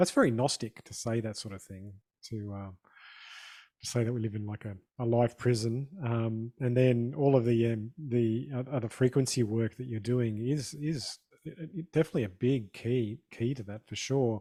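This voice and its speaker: A man with a dark, mellow tone and medium pitch speaks at a moderate pace, his pitch varying in an ordinary way and his loudness swinging widely, in a dry, close sound with no echo. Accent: Australian. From Australia. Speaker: podcast host. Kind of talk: podcast interview.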